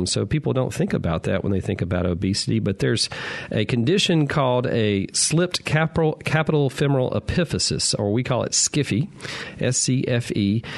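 Over noticeable background noise, a man with a Southern US accent talks at a moderate pace in a medium pitch, his intonation lively. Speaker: physician radio host. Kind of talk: call-in medical advice show. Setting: studio.

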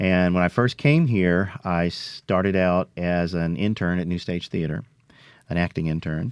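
The speaker has a Mississippi accent, a fairly slow pace and ordinary pitch variation, with a dry, close sound and no echo. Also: man, very deep, low pitch for a man. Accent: Mississippi Southern. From US South, Philadelphia, Mississippi. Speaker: actor and elementary school teacher. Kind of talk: radio interview.

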